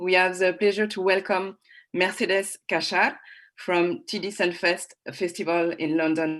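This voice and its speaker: In a French accent, a woman talks at a fairly slow pace with a medium pitch and fairly even intonation against a quiet background. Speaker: panel moderator. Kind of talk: online panel moderation.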